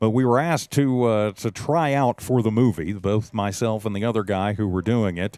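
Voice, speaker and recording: The speaker has an American accent and ordinary pitch variation. The recording is very clean, with a silent background. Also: man, fairly low pitch for a man. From West Texas. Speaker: high school football radio play-by-play announcer. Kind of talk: live commentary; casual chat.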